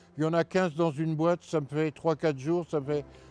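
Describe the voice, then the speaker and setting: A man at a fairly high pitch and fairly quick pace, monotone and flat, in a dry, close sound with no echo, with music in the background. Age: 70s. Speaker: retired heating fitter, ex-smoker interviewee. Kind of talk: interview testimony. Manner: halting.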